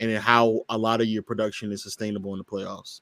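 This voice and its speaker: A man speaks at a fairly quick pace in a plain, everyday voice, his pitch medium and his intonation fairly even. The recording is very clean, with a silent background and a dry, close sound that has no echo. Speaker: basketball debate panelist. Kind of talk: heated debate.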